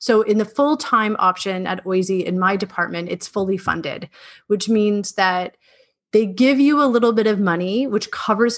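A woman's ordinary speaking voice with a Canadian accent, medium pitch, ordinary pitch variation and a moderate pace. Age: 30s. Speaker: middle school teacher. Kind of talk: casual interview.

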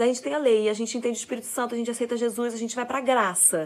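With an animated tone, a woman speaks in a high-pitched voice. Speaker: parenting influencer, mother. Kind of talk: casual monologue. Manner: fast.

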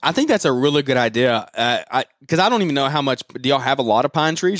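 With a Southern US accent, a man with a fairly high pitch talks at a very fast pace, hardly pausing, his loudness very even and his pitch variation ordinary, in a dry, close sound with no echo. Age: 20s. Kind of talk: casual interview chat.

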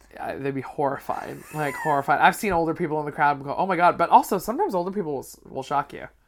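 A woman with a very deep, low pitch talks at a very fast pace with hardly any pauses. Her pitch varies in an ordinary way, her loudness swings widely, and noticeable background noise is present. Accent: Canadian. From Canada, Vancouver. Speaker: comedian. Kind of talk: casual chat.

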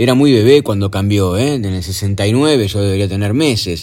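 A man with an ordinary speaking voice, moderate pace and lively intonation. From Argentina. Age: 50s. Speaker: podcaster. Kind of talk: personal storytelling monologue. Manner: casual, conversational.

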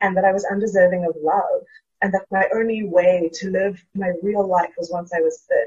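A somewhat breathy woman at medium pitch and a moderate pace. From South Africa. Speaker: theatre education worker and fat liberation activist. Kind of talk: interview.

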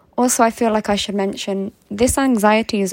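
A woman talks at a moderate pace in a fairly high pitch, with ordinary pitch variation. The sound is dry and close, with no echo. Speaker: listener sending in question. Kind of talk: recorded voice message. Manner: polite, sweet.

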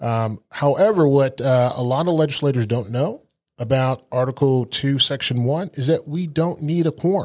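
A man with an American accent uses a normal speaking voice, fairly high in pitch with ordinary pitch variation, at a moderate pace in a very clean recording with a silent background. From Germany (US military family). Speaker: radio show host and state legislator. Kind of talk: political talk show interview.

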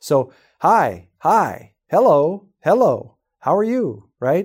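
On a very clean recording with a silent background, a man's voice moves through very wide pitch swings. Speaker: real estate sales trainer. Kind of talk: training podcast talk.

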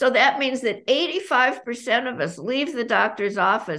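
An American accent from a woman with a bright, sharp tone. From Los Angeles, US. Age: 80s. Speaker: author. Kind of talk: casual interview chat.

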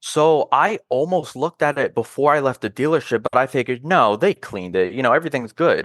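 With hardly any pauses, a man races along at a very fast pace in an American accent, his fairly high pitch showing vocal fry and lively intonation. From US South, North Carolina (Charlotte). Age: 20s. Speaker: car enthusiast. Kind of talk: casual chat.

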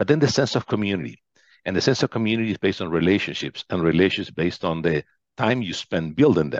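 Talking at a very fast pace with lively intonation, a man with a Spanish accent has a very deep, low pitch. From Argentina, western wine region. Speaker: business executive. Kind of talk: interview. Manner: halting, many fillers and repetitions.

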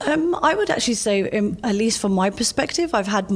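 At a moderate pace, a woman talks in a London accent. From London, England. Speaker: lawyer and chief privacy officer. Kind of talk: interview.

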